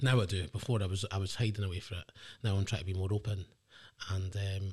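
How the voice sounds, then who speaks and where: A man speaks very fast in an Edinburgh accent, somewhat breathy. The recording is very clean with a silent background. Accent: Edinburgh Scottish. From Scotland, Edinburgh. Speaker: guest sharing life story. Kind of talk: casual interview.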